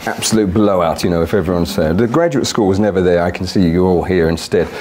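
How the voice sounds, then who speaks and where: This man talks at a very fast pace with a British accent. Noticeable background noise and audible room echo are present. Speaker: architect. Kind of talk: conference talk. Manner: loud.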